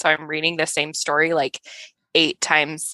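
This woman's voice has a bright, sharp tone. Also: quiet background. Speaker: speech-language pathologist, podcast co-host. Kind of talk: casual chat. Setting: video call.

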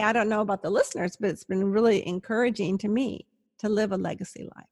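A woman speaks at a medium pitch with ordinary pitch variation and a somewhat breathy quality. The sound is dry and close with no echo, in a very clean recording with a silent background. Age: 60s. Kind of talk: interview conversation.

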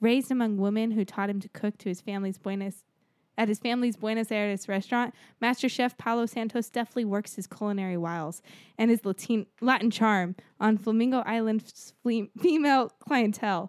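The voice is a normal speaking voice with fairly even intonation at a fairly quick pace. The sound is dry and close, with no echo. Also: woman, fairly high pitch for a woman. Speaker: podcast host and dungeon master. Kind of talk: casual chat.

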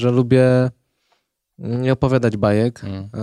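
A man speaks at a medium pitch with a dark, mellow tone and ordinary pitch variation. The recording is very clean and dry, close with no echo, over a silent background. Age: 20s. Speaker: ultrarunner. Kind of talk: casual chat. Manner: halting.

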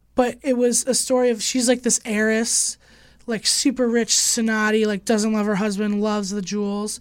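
A fairly high-pitched woman with an American accent, monotone, flat intonation and a moderate pace. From Chicago, US Midwest. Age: 20s. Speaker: podcast host. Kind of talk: casual chat. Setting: studio.

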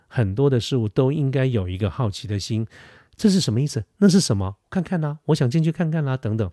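A man at a very fast pace, dark and mellow in tone, with very wide pitch swings, on a very clean recording with a silent background. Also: medium pitch for a man, dry, close sound with no echo. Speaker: podcast host. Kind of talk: solo advice monologue. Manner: hesitant with many fillers. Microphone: studio dynamic mic.

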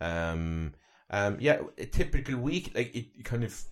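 Recorded very cleanly with a silent background, a man in a Cork accent speaks fairly slowly with ordinary pitch variation. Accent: Irish (Cork). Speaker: wellbeing coach and journalist. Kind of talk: casual interview conversation.

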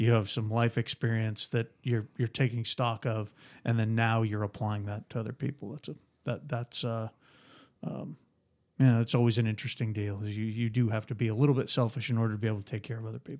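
A man with an American accent talks at a fairly quick pace in a medium pitch, with fairly even intonation. It is a plain, everyday voice on a very clean recording with a silent background. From Phoenix, Arizona. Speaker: returning podcast guest acting as interviewer. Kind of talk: casual interview chat.

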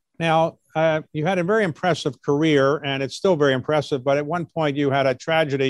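An unremarkable speaking voice moves at a fairly quick pace. The sound is dry and close, with no echo. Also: man. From US, Baltimore. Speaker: interviewer. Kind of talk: interview.

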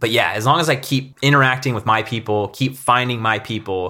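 A man speaks at a fairly quick pace with a bright, sharp tone and ordinary pitch variation. The recording is very clean with a silent background. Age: 30s. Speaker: YouTuber and mountain biker. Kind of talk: interview conversation. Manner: casual, animated.

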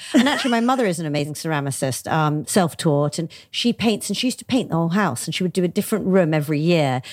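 Speaking at a very fast pace, a woman with a London accent uses a fairly low pitch that swings very widely. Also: hardly any pauses. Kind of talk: interview.

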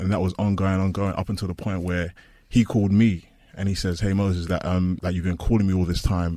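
A man's very deep, low voice with a dark, mellow tone and a London accent, at a fairly quick pace on a very clean recording with a silent background. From East London. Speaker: former American football player. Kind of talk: personal story interview.

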